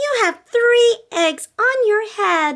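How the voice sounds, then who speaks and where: Squeaky and extremely high-pitched, a woman talks in a put-on character voice. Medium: read story. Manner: cheerful, matter-of-fact.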